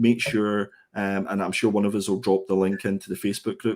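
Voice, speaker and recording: In a Scottish accent, a man speaks at a fairly quick pace with fairly low pitch, captured in a very clean recording with a silent background. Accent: Scottish, gritty. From Scotland. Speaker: comic book reviewer. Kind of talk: casual chat. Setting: live stream.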